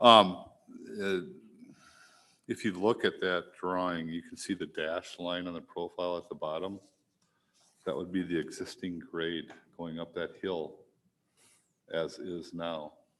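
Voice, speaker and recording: The tone is bright and sharp, with monotone, flat intonation. Delivery is fairly slow, with long, frequent pauses. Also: man, very deep, low pitch for a man. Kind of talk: public meeting presentation. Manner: soft-spoken. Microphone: mic on but too quiet at first.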